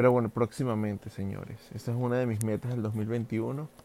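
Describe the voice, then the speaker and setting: The voice belongs to a man with a medium pitch and a dark, mellow tone. He speaks in a monotone, flat intonation. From Venezuela. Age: 30s. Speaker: podcaster and social media creator. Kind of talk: casual solo monologue. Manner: hesitant with frequent fillers.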